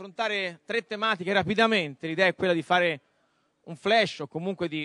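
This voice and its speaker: A high-pitched man with a bright, sharp tone and ordinary pitch variation, dry sound with no echo, quiet background. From Florence, Tuscany, Italy; Tuscany, Italy. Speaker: debate moderator. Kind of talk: moderated panel debate. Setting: stage with audience. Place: stage. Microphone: handheld.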